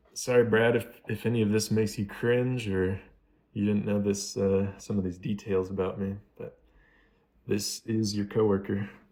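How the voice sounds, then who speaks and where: A man mumbles in a dark, mellow, fairly low voice with an American accent. His intonation stays monotone and flat at a moderate pace. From United States. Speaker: YouTuber doing gameplay commentary. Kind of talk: casual vlog over gameplay. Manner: mumbling, pauses between words.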